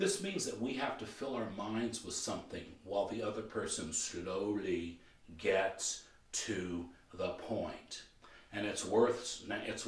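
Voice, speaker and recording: Somewhat breathy and fairly low in pitch, a man speaks at a fairly slow pace. Room echo is audible. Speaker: motivational coach and trainer. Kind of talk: training video lecture. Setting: filmed training video.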